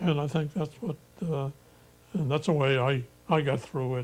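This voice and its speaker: With ordinary pitch variation and a fairly high pitch, a man's somewhat breathy voice moves at a moderate pace. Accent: American. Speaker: war veteran. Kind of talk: interview answer. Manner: hesitant.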